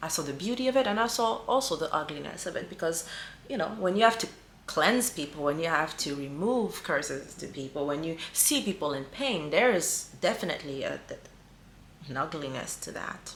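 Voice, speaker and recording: A woman's fairly low voice with very wide pitch swings at a moderate pace, amid noticeable background noise and audible room echo. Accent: non-native. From small African island country. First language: not English. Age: 40s. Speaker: spiritual healer and coach. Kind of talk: spiritual teaching monologue. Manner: mellow.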